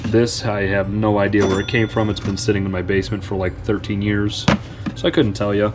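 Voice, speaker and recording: Noticeable background noise sits behind the recording. A man talks at a fairly quick pace. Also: fairly low pitch for a man, fairly even intonation. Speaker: online reseller. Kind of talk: casual vlog tutorial.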